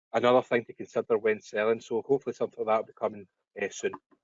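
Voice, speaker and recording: A man talks at a medium pitch. He has a Scottish accent. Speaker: web services business owner. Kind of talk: webinar Q&A. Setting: online webinar call.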